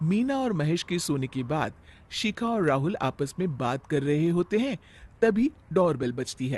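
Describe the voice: Speaking at a fairly slow pace, a man with a fairly high pitch makes big pitch swings in a slightly mellow tone.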